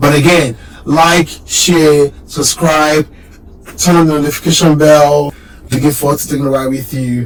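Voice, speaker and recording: Over noticeable background noise, a man with a fairly high pitch speaks at a fairly slow pace with fairly even intonation and long, frequent pauses. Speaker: car channel YouTuber. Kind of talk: casual vlog introduction. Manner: casual with filler words.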